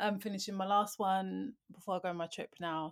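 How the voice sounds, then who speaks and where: A woman speaks at a fairly slow pace with a British accent. Her pitch sits in the medium range, and her intonation stays fairly even. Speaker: podcast co-host. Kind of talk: casual chat.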